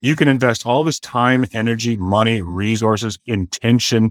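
Recorded very cleanly against a silent background, a man with a western Canadian accent speaks at a medium pitch, the sound dry and close with no echo. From Canada, southern Alberta (Blackfoot). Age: 50s. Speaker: realtor and entrepreneur, former pastor. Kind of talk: interview conversation.

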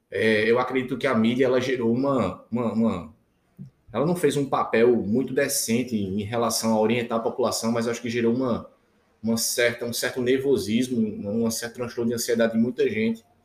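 In a plain, everyday voice, a man speaks fairly quickly at a medium pitch with fairly even intonation. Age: 30s. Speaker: intensive care physician. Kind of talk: casual interview chat.

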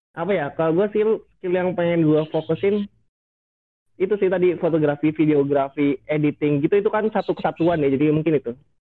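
A man speaks with a fairly high pitch. He moves at a fairly quick pace with ordinary pitch variation. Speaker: student photographer. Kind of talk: casual chat.

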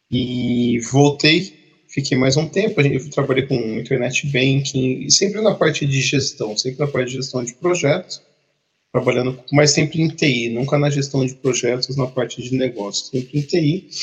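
A man's somewhat breathy, fairly high-pitched voice at a fairly slow pace, with ordinary pitch variation. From Brazil, Campinas (São Paulo state). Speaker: project manager, podcast co-host. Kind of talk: casual chat.

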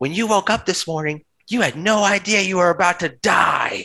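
A man puts on a character voice. It is high-pitched and delivered at a moderate pace. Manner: menacing, taunting.

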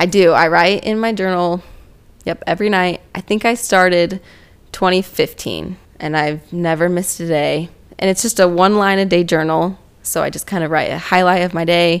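In a plain, everyday voice, a woman with an American accent speaks at a moderate pace, her fairly low pitch held to fairly even intonation. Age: 20s. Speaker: physical therapy assistant. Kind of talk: casual chat.

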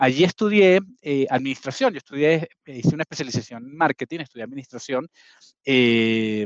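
A man with a Venezuelan accent speaks at a moderate pace, his fairly high voice showing lively intonation. The sound is dry and close, with no echo. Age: 40s. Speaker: marketing executive. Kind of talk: casual interview. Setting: video call.

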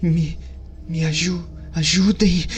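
Clear background noise sits behind a put-on character voice. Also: fairly slow pace. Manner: pleading.

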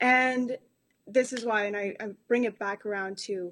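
A woman's medium-pitched voice comes through over a quiet background. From South America. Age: 20s. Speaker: life coach and podcaster. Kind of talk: casual chat.

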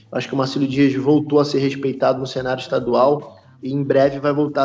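Intonation stays monotone and flat as a man talks at a fairly high pitch. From Brazil, Rio de Janeiro. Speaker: football club president. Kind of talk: podcast interview. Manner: halting, many fillers and repetitions.

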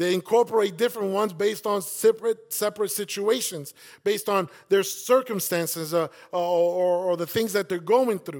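Speaking with an American accent, a man uses a high pitch and an animated tone. His pace is moderate, and the recording is very clean with a silent background. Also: ordinary pitch variation. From South Bronx, New York City. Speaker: campus pastor. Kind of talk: sermon. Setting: church.

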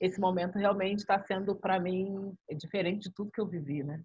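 A woman with an ordinary speaking voice, medium pitch and ordinary pitch variation at a moderate pace. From Rio de Janeiro favelas, Brazil. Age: 40s. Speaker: rapper, radio presenter and social activist. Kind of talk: interview.

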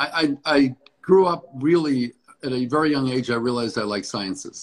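An unremarkable speaking voice is heard. Pitch varies in an ordinary way. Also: man. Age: 60s. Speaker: dentist. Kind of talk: casual interview. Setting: video call.

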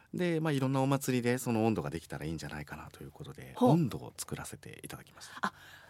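A man speaks at a very fast pace, with hardly any pauses and a medium pitch. His pitch swings very widely and his loudness swings a lot. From Beppu, Ōita, Kyushu. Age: 40s. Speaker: care facility staff, former musician and comedian. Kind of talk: casual interview.

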